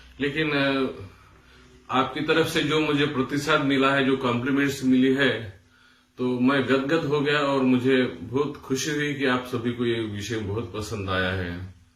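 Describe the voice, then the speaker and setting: The man's pitch moves in an ordinary way, with audible room echo around his voice. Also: medium pitch for a man. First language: Marathi (speaking Hindi). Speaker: music teacher. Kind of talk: tutorial. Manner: hesitant with fillers.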